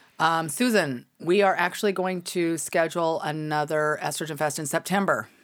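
A woman speaks at a moderate pace with hardly any pauses, her pitch fairly low and its variation ordinary. The recording is very clean and the background silent. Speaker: podcast host. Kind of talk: casual chat. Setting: live stream. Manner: animated.

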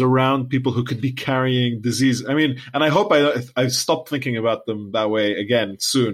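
A man with a Lebanese accent speaks at a medium pitch with ordinary variation, in a very clean recording with a silent background. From Lebanon. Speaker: podcast co-host. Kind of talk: casual chat.

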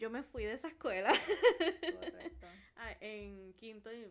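The speaker has a Puerto Rican accent and very wide pitch swings. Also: woman. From Puerto Rico, Carolina. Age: 20s. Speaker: podcast co-host. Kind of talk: casual chat.

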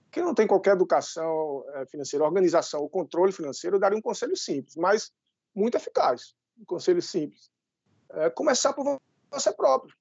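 A man's high voice at a fairly quick pace, with very wide pitch swings. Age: 30s. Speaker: financial educator and civil servant. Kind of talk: interview.

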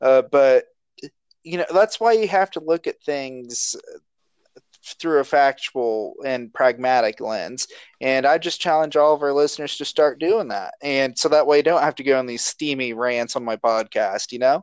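Against a quiet background, a man speaks in a normal speaking voice with fairly high pitch, ordinary pitch variation, and a moderate pace, the sound dry and close with no echo. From southern Ohio (Chillicothe). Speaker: podcast host. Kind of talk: casual chat.

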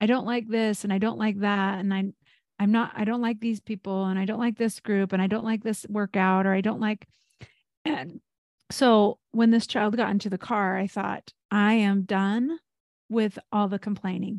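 Here a woman speaks at a moderate pace and a medium pitch with fairly even intonation. She has a normal speaking voice. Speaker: life coach podcast host. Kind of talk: casual podcast chat.

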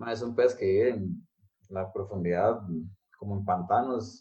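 A somewhat breathy man with a dark, mellow tone at a fairly slow pace. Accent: Costa Rican. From Costa Rica. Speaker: architect. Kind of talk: casual interview. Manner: hesitant, many fillers.

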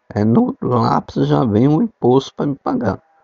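At a fairly slow pace, a man talks in an unremarkable speaking voice of medium pitch. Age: 60s. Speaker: amateur podcaster. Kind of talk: casual monologue.

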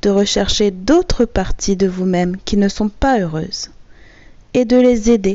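A woman at medium pitch with fairly even intonation and a fairly slow pace. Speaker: hypnotherapist. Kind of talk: guided hypnosis session. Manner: soft-spoken.

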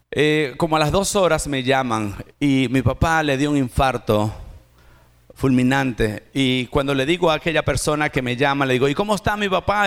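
This man talks at a moderate pace with lively intonation and very even loudness. His pitch sits fairly high. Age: 40s. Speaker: pastor. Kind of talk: sermon. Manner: animated.

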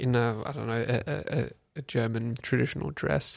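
A man with an Australian accent. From Australia, Canberra. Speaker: public servant. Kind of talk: casual chat. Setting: studio. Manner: hesitant, many fillers.

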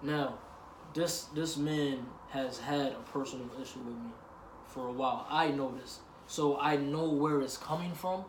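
Amid audible room echo, a man speaks at a fairly slow pace with fairly even intonation and a fairly high pitch. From US, Puerto Rican family. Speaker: podcast co-host. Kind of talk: casual chat.

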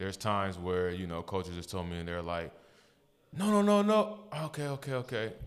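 Fairly low in pitch, a man talks at a fairly quick pace with lively intonation. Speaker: basketball player and podcast co-host. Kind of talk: casual sports chat. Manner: relaxed.

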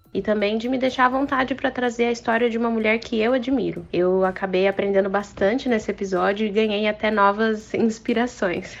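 Over noticeable background noise, a woman with a fairly high pitch talks at a fairly quick pace with fairly even intonation and hardly any pauses. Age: 20s. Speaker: lawyer, podcast guest. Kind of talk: casual chat.

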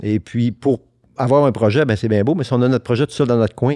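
Over a quiet background, a man talks at a fairly quick pace. His tone is dark and mellow, with ordinary pitch variation. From Quebec, Saguenay (Arvida). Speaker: businessman and collector. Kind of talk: casual interview.

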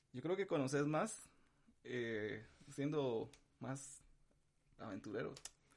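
With lively intonation, a man speaks at a fairly high pitch and a very slow pace, leaving long, frequent pauses. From Guatemala (capital, childhood in San Marcos). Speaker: musician. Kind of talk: casual chat.

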